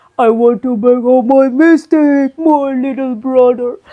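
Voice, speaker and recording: It is a put-on character voice with a high pitch. The pace is fairly slow. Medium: read story. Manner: whiny, scheming.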